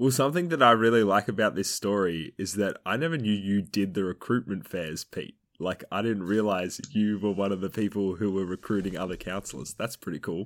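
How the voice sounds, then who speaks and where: Speaking at a fairly quick pace with hardly any pauses, a man uses an ordinary speaking voice, fairly low in pitch with ordinary pitch variation. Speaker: guest co-host. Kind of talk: casual chat. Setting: video call.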